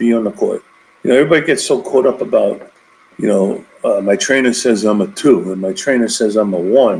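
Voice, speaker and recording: A man's medium-pitched voice at a fairly quick pace, full of very wide pitch swings. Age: 60s. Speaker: basketball coach. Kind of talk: interview.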